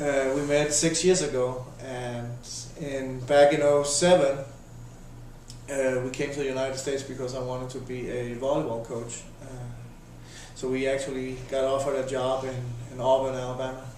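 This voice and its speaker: A man with a Danish accent talks at a moderate pace and medium pitch in a monotone, flat delivery with long, frequent pauses, amid noticeable background noise and audible room echo. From Denmark, Odense. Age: 30s. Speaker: interviewee, former volleyball player. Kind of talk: interview. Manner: halting.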